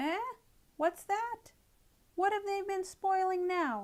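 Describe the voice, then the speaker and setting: A woman puts on a squeaky character voice pitched extremely high. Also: fairly slow pace, ordinary pitch variation. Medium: read story. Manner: sharp, scolding.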